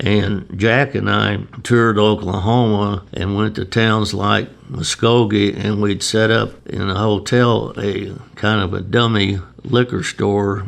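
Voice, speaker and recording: Vocal fry runs through a man's fairly low voice as he talks at a fairly slow pace with fairly even intonation. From Chicago. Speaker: retired beer distributor. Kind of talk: oral history interview answer.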